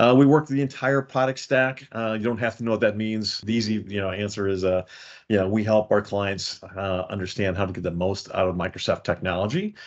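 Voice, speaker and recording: A man talks with a Chicago accent. His pitch is fairly low. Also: ordinary pitch variation, fairly quick pace. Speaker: software consultancy executive. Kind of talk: webinar presentation. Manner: hesitant, many fillers.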